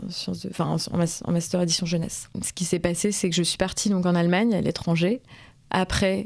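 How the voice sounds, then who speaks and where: Over a very clean recording with a silent background, a woman talks in a fairly low voice with monotone, flat intonation. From rural France. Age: 20s. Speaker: interviewee. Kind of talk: interview testimony. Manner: halting, many hesitations.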